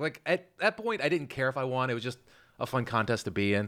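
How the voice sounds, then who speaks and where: The background is silent and the recording very clean. The speaker is a man. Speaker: comedian. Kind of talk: casual chat.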